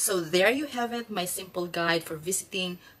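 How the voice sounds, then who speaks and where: A woman speaks with a Filipino accent. Her intonation is lively. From Philippines. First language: Filipino (Tagalog). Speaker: nurse and vlogger; vlogger. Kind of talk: vlog narration. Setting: restaurant. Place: home room. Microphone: phone near.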